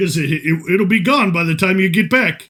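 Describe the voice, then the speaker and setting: Using a put-on character voice, a man speaks at a high pitch. His pace is moderate, with ordinary pitch variation. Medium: actual play.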